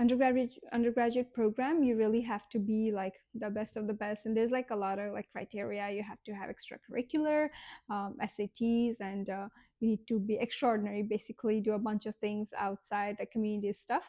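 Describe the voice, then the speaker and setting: At a fairly quick pace, a woman with a Nepali accent speaks in a dark, mellow tone at a fairly high pitch with fairly even intonation, the sound dry and close with no echo over a quiet background. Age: 20s. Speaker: vlogger. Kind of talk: casual vlog monologue. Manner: halting, many fillers.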